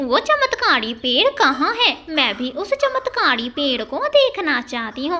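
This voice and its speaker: A woman does a cartoonish character voice, high in pitch. She goes at a fairly slow pace with hardly any pauses. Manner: greedy, wheedling.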